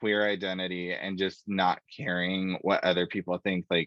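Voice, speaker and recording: Here is an ordinary speaking voice: a man with an American accent and a fairly low pitch. He speaks at a fairly slow pace with fairly even intonation. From US, small country town, Mexican family. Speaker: tech student panelist. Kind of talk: panel discussion.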